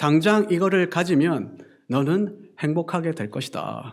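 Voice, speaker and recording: The man's delivery is fairly slow. His recording is very clean, and the background is silent. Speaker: pastor. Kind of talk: sermon.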